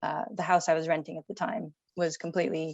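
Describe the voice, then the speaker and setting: A woman with an American accent speaks at a moderate pace in an ordinary speaking voice. Her pitch is fairly low and her intonation fairly even. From United States. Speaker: company founder and architect. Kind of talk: interview.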